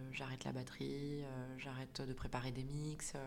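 Talking at a moderate pace with vocal fry, a woman is heard in audible room echo. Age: 30s. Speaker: clinical psychologist and coach. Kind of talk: personal testimony. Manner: halting.

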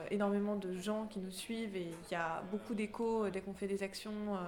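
Here is a woman speaking. Her pitch sits in the medium range. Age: 20s. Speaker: climate activist, media center coordinator. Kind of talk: interview.

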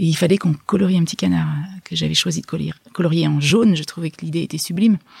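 A woman speaks in a dark, mellow tone, somewhat breathy, with a dry, close sound and no echo. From France, Hautes-Alpes (Gap). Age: 40s. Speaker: illustrator and author. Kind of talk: interview. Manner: halting, with many restarts.

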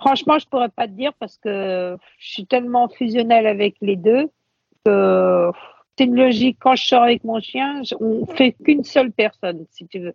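This woman has an ordinary speaking voice, pitched fairly high, at a moderate pace. Her loudness swings widely. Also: ordinary pitch variation. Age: 50s. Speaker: blind guide dog owner. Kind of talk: interview conversation. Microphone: poor sound quality.

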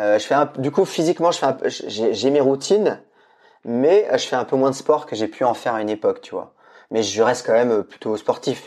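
A man with an unremarkable speaking voice talks at a moderate pace and a fairly high pitch. His intonation is lively, and the background is quiet. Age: 40s. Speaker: entrepreneur and media founder. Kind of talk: casual interview. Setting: remote recording from home.

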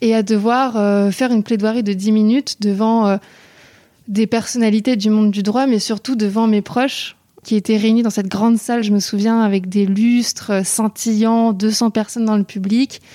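A woman's fairly high, dark, mellow voice in a monotone, flat intonation, at a moderate pace with very even loudness and a dry, close sound with no echo. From Paris. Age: 20s. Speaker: nonprofit founder and student. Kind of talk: interview.

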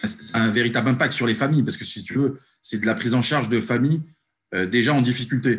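At a very fast pace, a man talks at a medium pitch with ordinary pitch variation and a somewhat breathy sound. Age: 30s. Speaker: company founder, former youth worker. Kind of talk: casual interview. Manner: hesitant with filler words.

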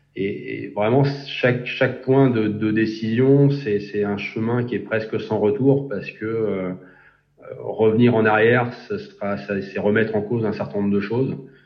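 Audible room echo surrounds a man who speaks at a medium pitch and a fairly slow pace with fairly even intonation. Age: 40s. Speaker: engineering program manager. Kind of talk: interview. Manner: halting, many repetitions and fillers.

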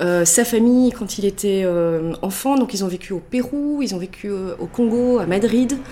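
Over noticeable background noise, a woman talks at a medium pitch with lively intonation. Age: 40s. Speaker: mother who traveled the world with family. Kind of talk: casual interview.

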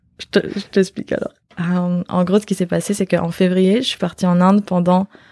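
A woman with a medium pitch and a plain, everyday voice speaks at a moderate pace with fairly even intonation, the sound dry and close with no echo. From Belgium. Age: 20s. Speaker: yoga retreat organizer. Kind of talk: casual interview conversation.

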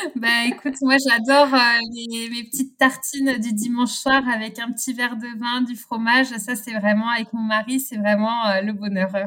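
The voice has a bright, sharp tone with monotone, flat intonation. It moves at a moderate pace. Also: woman, fairly high pitch for a woman. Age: 30s. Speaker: winegrower. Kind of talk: interview. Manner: halting.

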